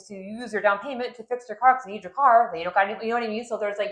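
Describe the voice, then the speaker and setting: A woman speaks at a fairly high pitch. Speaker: loan officer, podcast co-host. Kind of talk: casual chat.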